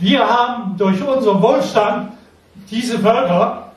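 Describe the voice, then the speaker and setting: Noticeable background noise and audible room echo surround a very slow voice with fairly even intonation. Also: man. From Lower Saxony, near Hann. Münden. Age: 80s+. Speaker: war veteran. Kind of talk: testimony. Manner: halting.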